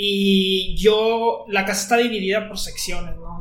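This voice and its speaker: A man's voice with fairly even intonation. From northern Mexico, Coahuila (Monclova). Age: 20s. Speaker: university student. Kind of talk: casual chat.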